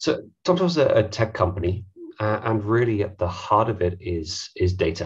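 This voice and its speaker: Fairly low male voice, somewhat breathy, at a moderate pace with lively intonation against a quiet background. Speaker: head of data at tech company; presenter. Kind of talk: webinar presentation. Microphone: headset.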